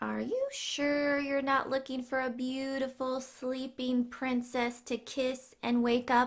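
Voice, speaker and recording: A woman puts on a character voice at a high pitch. She talks at a fairly slow pace with hardly any pauses. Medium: read story. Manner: suspicious, nasty.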